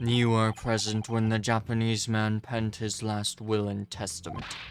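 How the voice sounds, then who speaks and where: A put-on character voice delivers its lines in a flat monotone at a moderate pace, with clear background noise. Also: man, medium pitch for a man. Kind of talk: formal courtroom speech. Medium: game stream. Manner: cold, imperious, measured.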